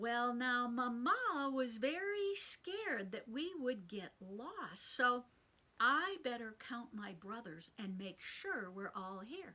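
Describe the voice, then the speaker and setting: Using a put-on character voice, a woman speaks high with very wide pitch swings and big swings in loudness. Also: fairly slow pace. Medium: read story. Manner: naive, earnest, excitable.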